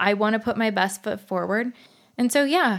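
The speaker is a woman. Her pitch is fairly high. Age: 30s. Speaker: podcast host with vision loss. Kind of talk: casual solo chat.

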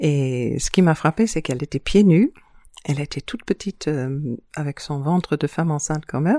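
A woman speaks at a moderate pace in a very deep, low pitch with a dark, mellow tone and ordinary pitch variation. The sound is dry and close with no echo, a very clean recording over a silent background. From New Zealand, childhood spent on various islands abroad. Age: 50s. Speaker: town hall secretary and island resident. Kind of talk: interview conversation.

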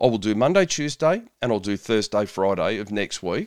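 A man speaks with an Australian accent in a very clean recording with a silent background. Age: 50s. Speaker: podcast host, nutritionist and police officer. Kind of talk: solo podcast monologue.

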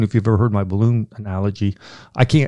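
A man's dark, mellow tone at a very fast pace on a very clean recording with a silent background. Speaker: pastor and theologian. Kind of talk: podcast Q&A answering theology questions. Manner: intense.

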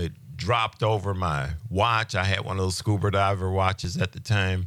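A man has a normal speaking voice with a fairly low pitch. The recording is very clean, with a silent background. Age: 60s. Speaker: healing ministry teacher. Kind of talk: testimony; religious teaching. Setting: radio studio interview.

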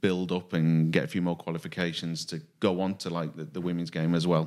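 A man's very deep, low voice, monotone and flat, at a fairly quick pace in a very clean recording with a silent background. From Widnes, northern England. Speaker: rugby league referee. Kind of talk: casual chat.

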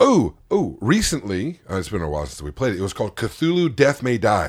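Vocal fry colors the man's voice. His pace is moderate. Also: very clean recording, silent background. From California. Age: 40s. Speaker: podcast host, guest. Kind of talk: casual chat. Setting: basement home studio.

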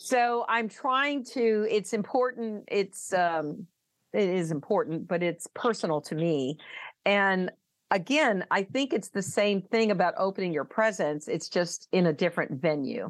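With a plain, everyday voice and an American accent, a woman speaks fairly slowly at medium pitch with lively intonation against a quiet background. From US South. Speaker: speaking coach and author. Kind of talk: interview.

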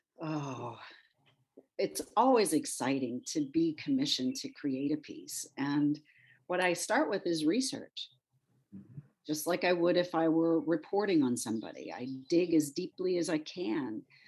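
A woman with a Midwestern US accent speaks at a fairly slow pace against a quiet background. Her pitch is fairly low, yet it swings very widely. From Michigan. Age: 60s. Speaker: former TV journalist turned sculptor. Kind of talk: interview. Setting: podcast.

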